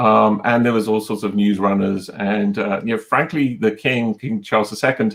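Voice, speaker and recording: With a British accent, a man speaks at a fairly low pitch and a moderate pace, with fairly even intonation and hardly any pauses. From Britain. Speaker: technology executive, panelist. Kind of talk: panel discussion. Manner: halting, many fillers.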